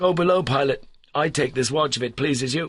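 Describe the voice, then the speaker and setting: A man puts on a raspy character voice, speaking fairly high and at a fairly quick pace. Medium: read story. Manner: sullen, coarse.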